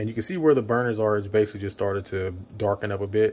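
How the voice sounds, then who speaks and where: The intonation of this male speaker stays fairly even. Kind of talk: casual cooking tutorial. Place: kitchen.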